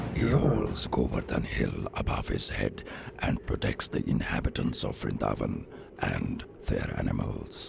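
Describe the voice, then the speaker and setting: A man performs a cartoonish character voice over clear background noise. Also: moderate pace. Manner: formal, grave.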